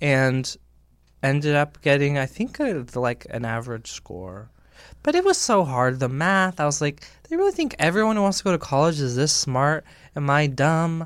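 In a plain, everyday voice, a man with an American accent speaks at a fairly high pitch and moderate pace with lively intonation, in a very clean recording with a silent background. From California. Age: 30s. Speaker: YouTuber. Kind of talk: casual chat.

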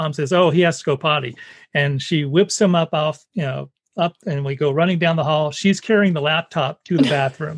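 A man with an ordinary speaking voice, fairly high-pitched, at a moderate pace with ordinary pitch variation. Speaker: podcast host. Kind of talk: casual chat. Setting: video call.

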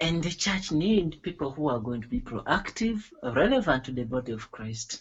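Lively intonation runs through a man's fairly high-pitched voice. It sounds somewhat breathy. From Uganda. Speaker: gospel music school director. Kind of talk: interview. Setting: internet call. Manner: hesitant, with fillers.

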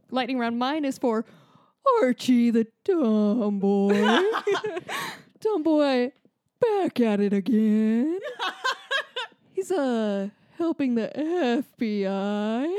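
Using a put-on character voice, a woman drawls at a very slow pace with a high pitch, lively intonation, and long, frequent pauses. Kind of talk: comic overacting. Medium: actual play. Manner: very slow, dragging.

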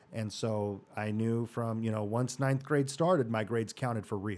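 A man speaks in an American accent at a medium pitch, his tone dark and mellow. The recording is very clean, with a silent background. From Arizona (Mesa). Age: 40s. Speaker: orthodontist and podcast host. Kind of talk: life-story interview. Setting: studio.

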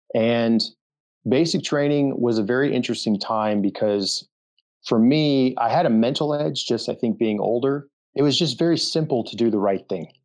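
Heard over a quiet background, an unremarkable speaking voice with an American accent moves at a moderate pace and ordinary pitch variation. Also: man, medium pitch for a man. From Denver, Colorado. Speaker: former special forces soldier, veterans charity director. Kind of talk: interview.

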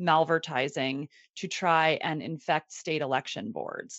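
Her pitch varies in an ordinary way as the woman speaks with an American accent. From US, Maryland. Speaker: marketing executive. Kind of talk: podcast interview.

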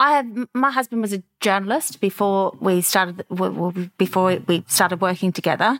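Her pitch medium and varying in an ordinary way, a woman talks at a moderate pace with hardly any pauses, the sound dry and close with no echo. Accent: Australian. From Australia, Melbourne. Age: 50s. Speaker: clothing brand founder. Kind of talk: interview.

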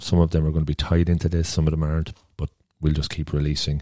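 A man speaks at an extremely low pitch with a dark, mellow tone and monotone, flat intonation. The sound is dry and close, with no echo.

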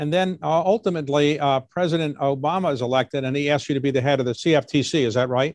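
Speaking with an American accent, a man talks at a very fast pace and fairly high pitch, with ordinary pitch variation and hardly any pauses. The sound is dry and close, with no echo. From US, Baltimore. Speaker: interviewer. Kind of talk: interview.

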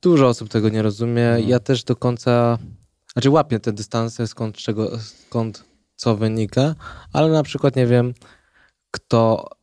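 Dark, mellow male voice at a moderate pace, with ordinary pitch variation, in a very clean recording with a silent background. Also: dry, close sound with no echo. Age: 20s. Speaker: ultrarunner. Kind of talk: casual chat. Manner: halting.

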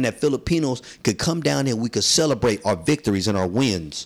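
With vocal fry and an animated tone, a man at a medium pitch talks at a fairly quick pace with lively intonation in a very clean recording with a silent background. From San Francisco, South of Market. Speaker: community activist, nonprofit founder. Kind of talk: interview.

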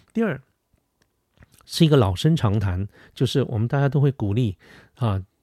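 A man's dark, mellow voice with lively intonation at a moderate pace, dry and close with no echo. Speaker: podcast host. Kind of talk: solo advice monologue. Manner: hesitant with many fillers. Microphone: studio dynamic mic.

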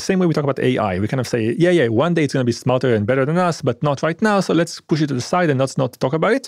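Very fast and with lively intonation, a man is speaking. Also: dry, close sound with no echo. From Israel. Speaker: scientist and former hacker. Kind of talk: interview.

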